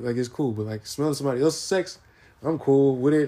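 Speaking with an American accent, a man has a plain, everyday voice at medium pitch with ordinary pitch variation. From US West Coast and Arkansas. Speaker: podcast host and musician. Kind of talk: casual solo monologue.

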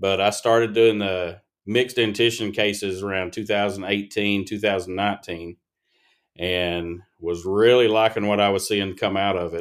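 This man's voice sits fairly low, with fairly even intonation. The recording is very clean, with a silent background. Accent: Appalachian. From Appalachian eastern Kentucky. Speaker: pediatric dentist. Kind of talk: casual interview.

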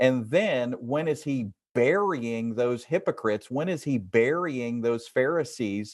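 Over a quiet background, a man speaks at a medium pitch and a very slow pace with lively intonation. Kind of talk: interview about faith. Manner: animated.

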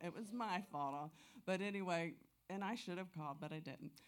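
A woman with a normal speaking voice talks at a moderate pace, using a fairly low pitch and ordinary pitch variation. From Florida, Tampa. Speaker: church member. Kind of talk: testimony. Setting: church with congregation.

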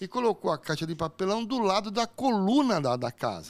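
On a very clean recording with a silent background, a man talks in an animated tone. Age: 50s. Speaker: podcast host. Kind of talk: casual chat. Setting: studio.

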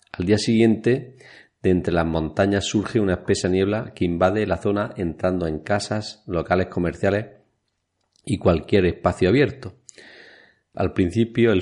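A man speaks at a moderate pace with a very deep, low pitch and ordinary pitch variation. The background is quiet. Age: 40s. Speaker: podcast co-host. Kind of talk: casual chat.

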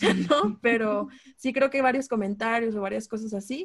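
A woman speaks in a somewhat breathy voice at a moderate pace with fairly even intonation. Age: 20s. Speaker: podcast guest. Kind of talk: casual chat. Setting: remote call.

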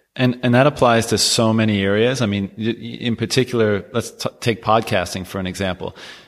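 An unremarkable speaking voice with a Canadian accent, fairly quick in pace, with fairly even intonation. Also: man, medium pitch for a man. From Canada. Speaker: podcast host. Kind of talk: casual interview chat.

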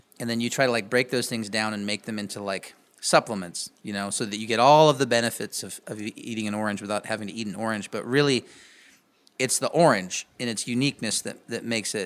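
With an American accent and an unremarkable speaking voice, a man talks at a medium pitch with fairly even intonation and big swings in loudness, on a very clean recording with a silent background. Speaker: musician and podcast host. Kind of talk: casual interview.

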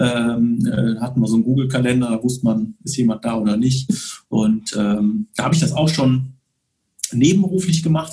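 A man talks fairly quickly, his medium pitch rising and falling with ordinary variation. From Bonn area, Rhineland, western Germany. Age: 40s. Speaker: photographer. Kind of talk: casual interview. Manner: hesitant with frequent fillers.

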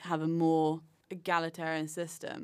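A woman's fairly low voice in a British accent, on a very clean recording with a silent background. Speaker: podcast host. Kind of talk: casual interview.

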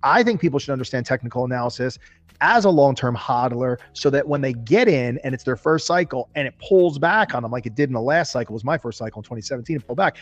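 Music plays behind a man with a New Jersey accent. He talks at a very fast pace with ordinary pitch variation. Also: medium pitch for a man. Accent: New Jersey American. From US, New Jersey. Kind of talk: casual chat. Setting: video call.

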